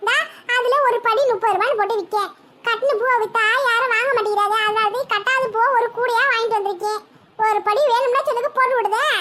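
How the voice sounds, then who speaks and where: A woman performs a cartoonish character voice at an extremely high pitch. Her intonation stays fairly even and her loudness very even. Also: moderate pace. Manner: fast, sharp, cutting.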